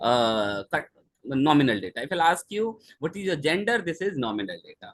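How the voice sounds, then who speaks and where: His pitch swings very widely. The man keeps a fairly quick pace. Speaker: lecturer. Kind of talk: lecture. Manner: soft-spoken; halting.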